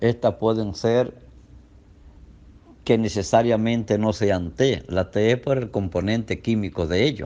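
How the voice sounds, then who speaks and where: Pausing long and often, a man speaks at a fairly slow pace in a dark, mellow tone, his pitch fairly low with ordinary variation. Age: 60s. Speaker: doctor. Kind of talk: health talk.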